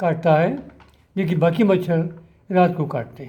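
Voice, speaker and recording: There is audible room echo around a man whose tone is dark and mellow. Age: 80s+. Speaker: doctor and drug researcher. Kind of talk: health talk to camera. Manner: formal.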